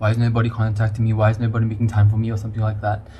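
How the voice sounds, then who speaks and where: With flat, monotone intonation, a man talks in a somewhat breathy voice. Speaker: mental health podcaster. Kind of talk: personal monologue podcast. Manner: hesitant, many fillers.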